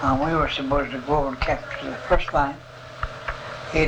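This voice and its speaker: Noticeable background noise sits behind a man speaking. His voice is fairly high-pitched and his pace fairly quick. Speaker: war veteran. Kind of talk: interview answer.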